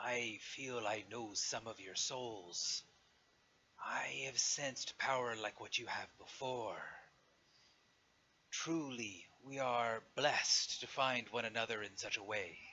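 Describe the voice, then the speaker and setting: A man speaks in a put-on character voice with a resonant tone. His pitch sits in the middle range, and his pace is fairly slow. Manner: grand, majestic.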